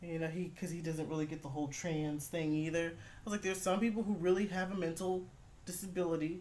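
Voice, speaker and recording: There is audible room echo around a woman's voice. She speaks in a fairly low pitch with fairly even intonation. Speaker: podcast host and call center worker. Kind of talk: casual chat.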